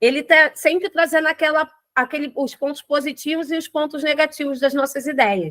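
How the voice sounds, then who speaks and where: A woman talks fairly quickly in a high voice with a bright, sharp tone. The sound is dry and close, with no echo. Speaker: NGO founder and capoeira teacher. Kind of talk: online class. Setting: livestream. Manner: repeats words, filler hesitations.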